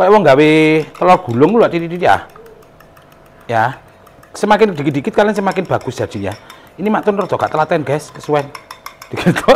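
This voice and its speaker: Very fast speech with lively intonation comes from a man with an East Javanese accent, broken by long, frequent pauses. Noticeable background noise is present. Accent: East Javanese Indonesian. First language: Javanese (speaking Indonesian). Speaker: cooking vlogger. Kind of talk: cooking tutorial.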